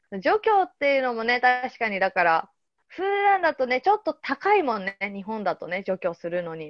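A fairly high-pitched woman at a moderate pace, with very wide pitch swings. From Japan, Yokohama. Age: 30s. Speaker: podcast host. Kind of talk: casual chat.

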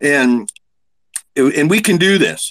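A man with an American accent speaks with lively intonation in a dry, close sound with no echo. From Pennsylvania coal country. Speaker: congressional candidate. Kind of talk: political speech. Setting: Twitter Spaces audio room. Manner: animated.

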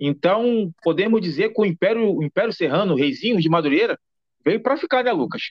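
This man's speech moves at a fairly quick pace, and his intonation is lively. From Rio de Janeiro suburbs, Brazil. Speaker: podcast host. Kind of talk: podcast interview. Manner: halting, frequent repetitions.

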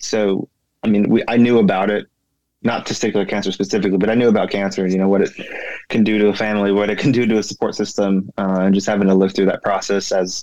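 A man with an American accent, a fairly low pitch and fairly even intonation. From California. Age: 30s. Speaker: cancer survivor, naval officer. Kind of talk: interview.

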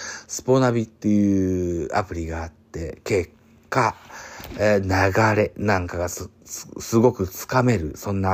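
A man speaks with a fairly low pitch and ordinary pitch variation. His loudness swings widely. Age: 40s. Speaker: podcaster. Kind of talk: casual solo podcast talk. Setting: late-night solo recording. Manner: many fillers.

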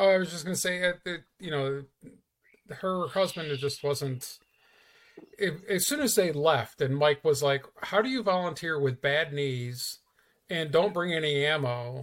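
Talking at a fairly slow pace, a man with an unremarkable speaking voice keeps a fairly high pitch and ordinary pitch variation. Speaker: guest. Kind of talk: casual chat.

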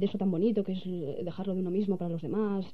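Her delivery is very fast. The pitch moves up and down in an ordinary way, and the speaker is a woman. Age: 20s. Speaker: director of a media outlet. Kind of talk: radio interview. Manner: halting.

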